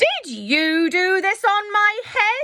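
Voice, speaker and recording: A woman puts on a squeaky character voice at an extremely high pitch. Her intonation is lively. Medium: read story. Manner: indignant.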